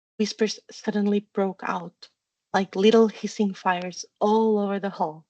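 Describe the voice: Plain reading aloud is heard, and the background stays quiet.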